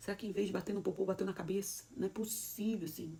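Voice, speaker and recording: A woman in an animated tone with a Brazilian accent and ordinary pitch variation. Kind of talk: motivational sermon talk. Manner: fast.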